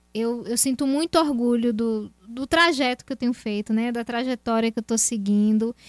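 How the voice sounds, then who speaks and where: In a normal speaking voice, a woman talks at a moderate pace with hardly any pauses, using a fairly high pitch and fairly even intonation, on a very clean recording with a silent background. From Brazil, Feira de Santana, Bahia. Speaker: actress. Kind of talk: casual interview.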